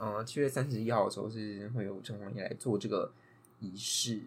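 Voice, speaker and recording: This man has a plain, everyday voice. He speaks at a moderate pace with ordinary pitch variation. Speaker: podcast co-host. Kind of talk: casual chat.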